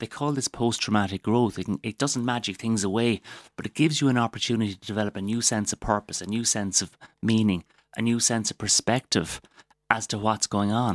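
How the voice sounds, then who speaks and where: A man with a Waterford accent talks at a fairly quick pace in a medium pitch with fairly even intonation. The sound is dry and close with no echo, on a very clean recording with a silent background. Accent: Waterford Irish. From Waterford, Ireland. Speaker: doctor. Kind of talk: radio interview. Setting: studio.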